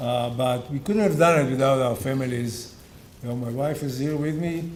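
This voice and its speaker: A man talks at a moderate pace, with room echo audible around him. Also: medium pitch for a man, ordinary pitch variation. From Israel. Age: 60s. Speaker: restaurant owner. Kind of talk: award acceptance speech. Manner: halting.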